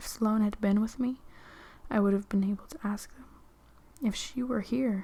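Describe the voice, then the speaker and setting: The speaker is soft-spoken. The pace is moderate. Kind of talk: soft-spoken ASMR book reading.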